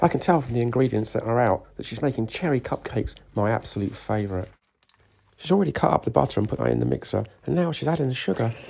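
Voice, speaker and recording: Speaking very fast, a man with a medium-pitched, dark, mellow tone lets his pitch swing very widely. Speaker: motorcycle builder. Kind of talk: workshop video narration.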